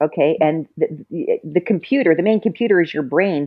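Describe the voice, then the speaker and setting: Here a woman with a fairly low pitch uses lively intonation in a plain, everyday voice. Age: 60s. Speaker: mother, podcast guest. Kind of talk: casual chat.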